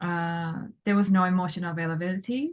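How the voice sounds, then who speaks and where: A woman speaks at a fairly slow pace in a medium pitch. Her voice is somewhat breathy. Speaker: self-connection coach. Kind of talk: casual interview chat.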